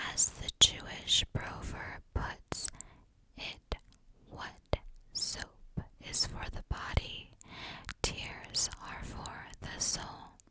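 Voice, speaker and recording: Whispering in a gentle tone at a very slow pace, the speaker leaves long, frequent pauses over noticeable background noise. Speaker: ASMR creator. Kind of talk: ASMR card reading. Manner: slow, gentle, calming.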